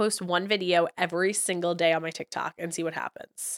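A woman with an American accent speaks at a very fast pace and a medium pitch, in a bright, sharp tone. The sound is dry and close, with no echo. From New York. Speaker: podcast co-host. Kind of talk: casual chat.

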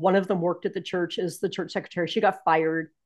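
This woman has a medium-pitched voice and an American accent, recorded against a quiet background. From US West Coast, San Francisco Bay Area. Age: 60s. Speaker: minister and paraeducator. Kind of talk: interview testimony. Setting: remote call. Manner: halting, many fillers.

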